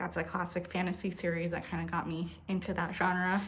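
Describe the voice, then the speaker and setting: A soft-spoken woman with a fairly low pitch, vocal fry, a moderate pace, and audible room echo. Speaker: booktuber. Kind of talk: casual vlog chat. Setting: at home. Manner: soft-spoken, talking quietly; hesitant, many fillers.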